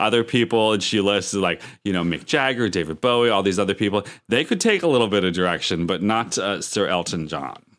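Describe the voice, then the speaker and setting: A man speaks in a normal speaking voice at a fairly low pitch. His pace is fairly quick, with ordinary pitch variation. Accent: American. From Erie, Pennsylvania. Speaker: podcast co-host. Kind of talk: casual chat.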